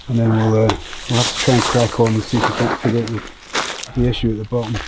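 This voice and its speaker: Through noticeable background noise, a man speaks at a very fast pace in a medium pitch with monotone, flat intonation. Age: 40s. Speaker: endurance adventurer. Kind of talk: casual chat. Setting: outdoors. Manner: halting.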